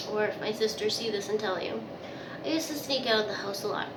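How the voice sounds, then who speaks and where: A woman's fairly high voice, with audible room echo and noticeable background noise. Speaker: vlogger. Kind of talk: casual storytelling to camera. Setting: bathroom.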